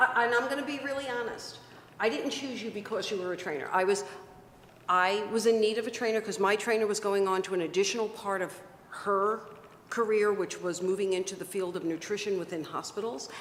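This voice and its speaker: The speech moves at a fairly quick pace with ordinary pitch variation. Room echo is audible. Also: woman, medium pitch for a woman. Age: 60s. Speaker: webcast host and success coach. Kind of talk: casual interview chat.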